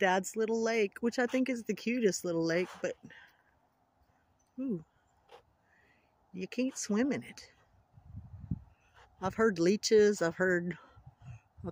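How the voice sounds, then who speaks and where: Moderate pace broken by long, frequent pauses. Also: dry sound with no echo. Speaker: vlogger. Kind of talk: casual vlog chat. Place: waterside. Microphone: phone near.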